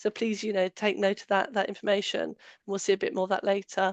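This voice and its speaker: The speaker has a British accent. The sound is dry and close with no echo, over a quiet background. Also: woman. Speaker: allergen safety trainer. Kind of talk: webinar presentation. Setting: online webinar. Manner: hesitant, many fillers.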